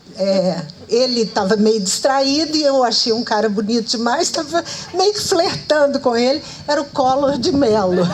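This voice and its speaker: A woman with a high pitch and very wide pitch swings talks at a moderate pace over noticeable background noise. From Minas Gerais, Brazil (Araxá region). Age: 70s. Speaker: author and journalist. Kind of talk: live public conversation. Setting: outdoor event with audience, under trees.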